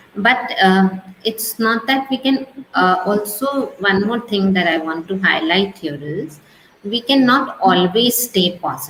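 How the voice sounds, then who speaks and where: Against noticeable background noise, a woman talks at a fairly slow pace and a medium pitch with lively intonation. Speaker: business advisor. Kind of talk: video call interview. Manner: soft-spoken.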